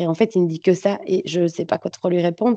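Fairly low in pitch, a woman speaks at a fairly quick pace. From Belgium. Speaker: adoptee telling her story. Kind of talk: testimony. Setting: video call.

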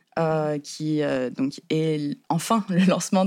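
This voice is very deep and low in pitch. It belongs to a woman. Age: 20s. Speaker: co-founder of a communication cooperative. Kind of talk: interview.

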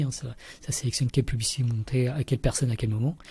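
Speaking at a very fast pace, a man has a medium-pitched, somewhat breathy voice with a dark, mellow tone. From Paris region, France. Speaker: mathematician and science communicator. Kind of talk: interview. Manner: halting.

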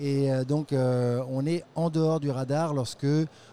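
With a dark, mellow tone and fairly high pitch, a man speaks at a very slow pace with fairly even intonation. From France. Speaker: international development program manager. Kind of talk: interview. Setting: tech trade show.

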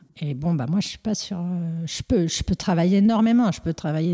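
A woman's fairly low, somewhat breathy voice with a dark, mellow tone and ordinary pitch variation at a moderate pace, dry and close with no echo, on a very clean recording with a silent background. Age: 40s. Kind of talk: interview. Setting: at her home. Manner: halting.

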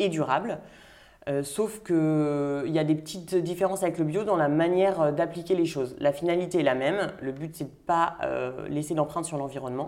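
A woman talks in an unremarkable speaking voice at a fairly low pitch. Her pitch variation is ordinary. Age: 30s. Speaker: winemaker. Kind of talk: interview.

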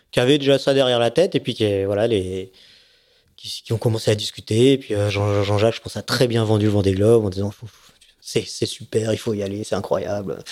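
At a fairly quick pace, a man with a fairly low pitch speaks with fairly even intonation in a very clean recording with a silent background. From Savoie, France. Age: 40s. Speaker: offshore racing sailor. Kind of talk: casual interview. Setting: at a home. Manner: hesitant, many fillers.

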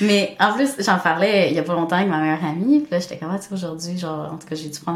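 A woman speaks at a very fast pace. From Montreal, Quebec. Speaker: new nurse. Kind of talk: casual interview.

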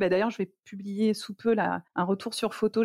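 A woman's monotone, flat delivery, dry and close with no echo, on a very clean recording with a silent background. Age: 40s. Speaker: cancer survivor and stage performer. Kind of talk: personal testimony interview.

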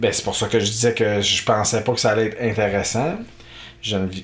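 The speaker moves at a moderate pace with fairly even intonation. Long pauses come often. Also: man. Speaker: podcast host. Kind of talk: casual chat, playful banter.

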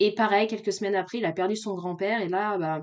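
A woman has an ordinary speaking voice at a medium pitch. Her intonation stays fairly even. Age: 30s. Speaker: podcast guest sharing her love story. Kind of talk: casual interview.

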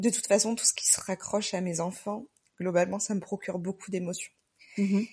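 The voice is dark, mellow and somewhat breathy. It runs at a fairly quick pace with monotone, flat intonation. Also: woman, medium pitch for a woman. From southern France, Marseille. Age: 30s. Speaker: nurse. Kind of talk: personal testimony.

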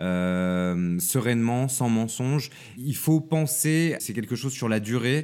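A man speaks at a very slow pace. His pitch is medium and his intonation lively. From countryside near Lyon, France. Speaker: journalist and TV producer. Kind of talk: interview conversation.

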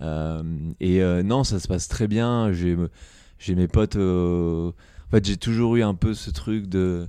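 Very slow speech in a dark, mellow tone with ordinary pitch variation. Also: man, very deep, low pitch for a man. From France, Eure-et-Loir (Dreux). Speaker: startup founder. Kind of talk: casual interview. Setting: office.

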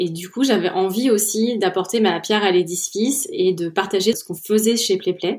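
A woman with a normal speaking voice, fairly even intonation and a moderate pace. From central France, Orléans. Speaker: head of product at a software company. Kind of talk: interview.

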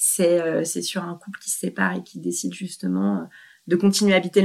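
The voice belongs to a woman. It has a fairly low pitch. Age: 40s. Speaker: separated mother. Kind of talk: interview. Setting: at her home. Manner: halting, many repetitions.

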